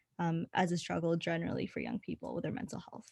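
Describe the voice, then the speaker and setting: Talking at a fairly quick pace in an ordinary speaking voice, a woman with a Canadian accent and a fairly low pitch is heard over a quiet background, the sound dry and close with no echo. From Winnipeg, Canada. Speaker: university student, youth panelist. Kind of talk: panel discussion.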